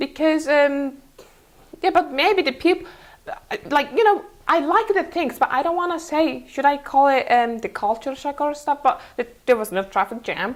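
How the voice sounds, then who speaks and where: A woman with a Mongolian accent speaks in a high pitch. Her intonation is lively and her pace moderate. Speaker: interview guest, former student. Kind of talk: interview. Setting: TV studio. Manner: halting, many fillers.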